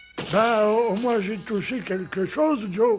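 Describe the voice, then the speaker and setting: A man's cartoonish character voice, high-pitched and at a fairly slow pace. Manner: slow, innocent.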